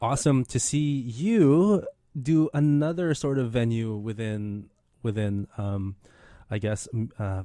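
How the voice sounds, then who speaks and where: At a fairly slow pace, a man with a medium pitch and a dark, mellow tone speaks with lively intonation in a very clean recording with a silent background. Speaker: radio programmer and host of a community radio show. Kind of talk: casual radio host banter, studio conversation. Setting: community radio studio. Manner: enthusiastic, upbeat, chatty.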